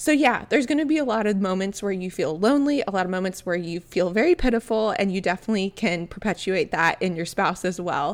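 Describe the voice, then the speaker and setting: Talking very fast with hardly any pauses, a woman with an American accent and a medium pitch uses lively intonation in a very clean recording with a silent background. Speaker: podcast host. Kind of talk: solo podcast monologue, casual. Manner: warm, friendly, chatty.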